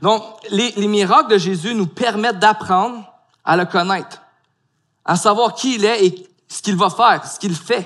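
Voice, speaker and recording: A man with a high pitch and a bright, sharp tone speaks at a fairly slow pace with ordinary pitch variation and long, frequent pauses. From Quebec (Gatineau). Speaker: pastor. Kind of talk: sermon.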